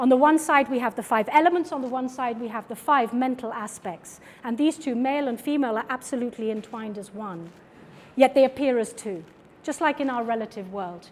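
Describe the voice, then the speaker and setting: A woman with a British accent speaks at a high pitch with ordinary pitch variation and big swings in loudness. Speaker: artist and filmmaker giving a lecture. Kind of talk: lecture.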